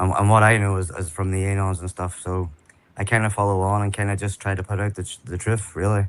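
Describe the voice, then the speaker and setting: A man with an Irish accent, fairly low in pitch, talking at a very fast pace in a monotone, flat intonation. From Ireland. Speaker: online activist. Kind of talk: interview.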